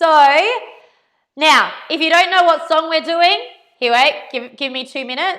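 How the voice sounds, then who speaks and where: A woman speaks loudly at a fairly slow pace in an extremely high pitch, with long, frequent pauses. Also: ordinary pitch variation. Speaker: dance teacher. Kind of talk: live dance class instruction. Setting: live stream from home garage. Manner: casual, chatty.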